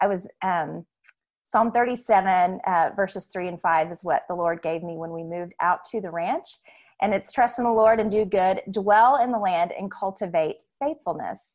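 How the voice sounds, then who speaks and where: With a Southern US accent, a woman of medium pitch talks at a moderate pace with ordinary pitch variation and big swings in loudness, against a quiet background. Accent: Southern US (Oklahoma). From Oklahoma City. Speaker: homeschooling mom and ranch owner. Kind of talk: casual interview about faith.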